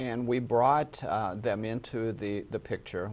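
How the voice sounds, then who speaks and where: A man with an American accent speaks at a fairly slow pace in a fairly low voice, his pitch rising and falling an ordinary amount. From Minnesota. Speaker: hospital executive. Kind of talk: interview.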